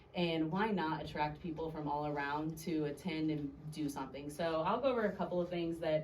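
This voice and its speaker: Amid noticeable background noise and audible room echo, a woman with an American accent talks at a moderate pace in a very deep, low pitch, with ordinary pitch variation. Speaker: alderwoman, city council member. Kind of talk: city council meeting report. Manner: loud.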